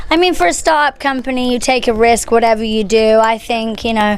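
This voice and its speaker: A high-pitched woman with a slight English accent and ordinary pitch variation, over noticeable background noise. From England. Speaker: singer, contest judge. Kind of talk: press interview. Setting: press event. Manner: animated.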